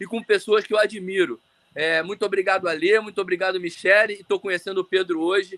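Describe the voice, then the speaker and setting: A man with a high pitch and a bright, sharp tone talks at a fairly quick pace with fairly even intonation. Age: 40s. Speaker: orthopedic surgeon and swimmer. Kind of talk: casual chat. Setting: live video call. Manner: talkative.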